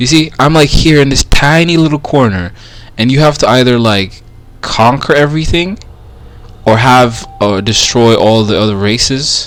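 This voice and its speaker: Over noticeable background noise, a man with a non-native accent speaks at a moderate pace, his medium pitch varying in an ordinary way. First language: not English. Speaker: gaming streamer. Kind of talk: live gameplay commentary. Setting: live stream. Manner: casual, halting with fillers.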